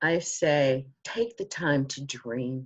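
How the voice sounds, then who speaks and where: This woman speaks with ordinary pitch variation. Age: 60s. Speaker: motivational speaker and author. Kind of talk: interview.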